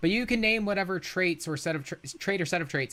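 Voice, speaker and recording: The background is silent and the recording very clean. A man talks with ordinary pitch variation. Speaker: live-stream debate host. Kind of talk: live-stream debate. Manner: fast.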